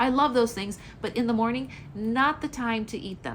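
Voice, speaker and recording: Her pitch fairly high with ordinary variation, a woman with a plain, everyday voice speaks at a moderate pace. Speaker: health and wellness vlogger. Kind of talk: tutorial. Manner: casual conversational.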